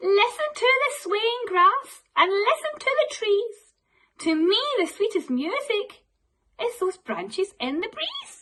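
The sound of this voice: A woman speaks slowly in a put-on character voice, her pitch extremely high with big swings up and down. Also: fairly bright tone.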